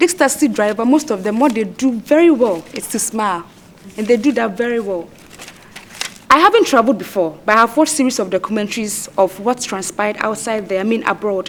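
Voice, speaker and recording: Her voice is fairly high, with lively intonation. Noticeable background noise runs behind this woman. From Ghana. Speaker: contestant. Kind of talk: debate. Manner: fast.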